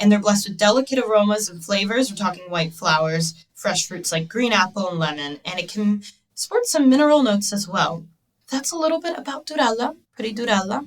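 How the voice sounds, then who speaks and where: With an American accent, a woman speaks at medium pitch in a somewhat breathy voice with lively intonation. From New Jersey, US. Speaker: wine podcast host. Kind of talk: casual interview chat; scripted presentation. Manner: animated.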